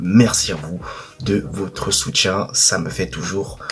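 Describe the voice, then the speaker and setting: Over music in the background, a soft-spoken man with a very deep, low pitch speaks with lively intonation. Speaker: football YouTuber. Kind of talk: match debrief monologue.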